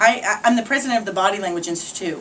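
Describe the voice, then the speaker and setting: A woman in a Boston accent at a very fast pace, with noticeable background noise. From Boston area, New England. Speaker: body language expert and speaker. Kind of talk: promotional talk and tips to camera. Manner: animated.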